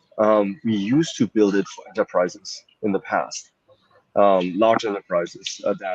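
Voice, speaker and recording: A man with a German accent at a moderate pace. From Germany. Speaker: startup founder and CEO. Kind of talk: interview. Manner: hesitant, many fillers.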